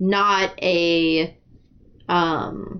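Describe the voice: A woman speaks at a very slow pace. Her pitch is fairly low, with fairly even intonation.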